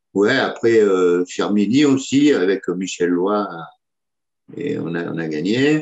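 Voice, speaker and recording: A man speaks at a very slow pace with long, frequent pauses. His fairly low voice carries lively intonation. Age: 60s. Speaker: petanque player. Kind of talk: interview. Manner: hesitant, many fillers.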